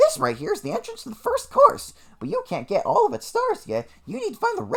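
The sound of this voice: Using a put-on character voice, a man talks at a fairly quick pace with an extremely high pitch.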